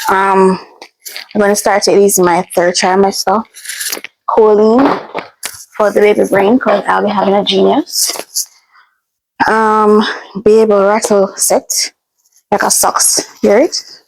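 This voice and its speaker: Delivered at a fairly slow pace, the speech holds very even loudness and has long, frequent pauses. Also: woman, medium pitch for a woman. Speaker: vlogger. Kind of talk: casual unboxing vlog.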